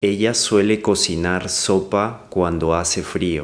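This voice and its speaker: The speech moves at a very slow pace. Its intonation stays fairly even. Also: man, very deep, low pitch for a man. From Lima, Peru. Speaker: language lesson voice-over. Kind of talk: language lesson listen-and-repeat read. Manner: clear, slow.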